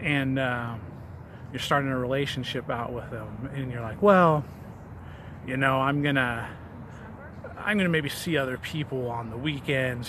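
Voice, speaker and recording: The voice shows ordinary pitch variation. The recording has audible room echo and noticeable background noise. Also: man. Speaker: fitness vlogger. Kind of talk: casual vlog monologue. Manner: hesitant, many fillers and repetitions; stumbles over words.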